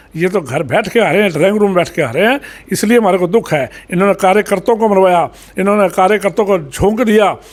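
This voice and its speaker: A man speaks at a high pitch with ordinary pitch variation. His loudness stays very even. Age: 70s. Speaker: local politician. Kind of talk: interview. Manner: animated.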